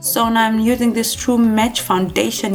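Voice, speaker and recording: A woman speaks at a medium pitch with a non-native accent and ordinary pitch variation. Her pace is moderate, with music playing in the background. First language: not English. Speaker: beauty vlogger. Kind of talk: tutorial. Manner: halting.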